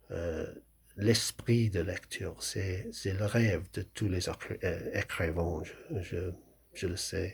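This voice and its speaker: At a very slow pace, the speaker sounds somewhat breathy, with fairly even intonation. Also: man, very deep, low pitch for a man. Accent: strong English. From England. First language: English (speaking French). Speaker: novelist. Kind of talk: talk about his book. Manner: halting, many hesitations.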